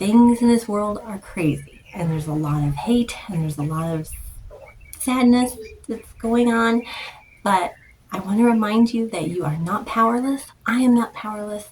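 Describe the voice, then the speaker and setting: A soft-spoken voice moves at a moderate pace with lively intonation. Noticeable background noise runs underneath. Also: woman, fairly high pitch for a woman. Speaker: art content creator. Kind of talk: casual vlog talk to camera. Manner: hesitant, many fillers.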